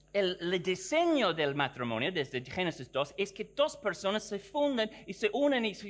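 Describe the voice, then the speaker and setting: A man speaks at a moderate pace. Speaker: theology professor. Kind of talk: conference lecture. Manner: halting, self-correcting.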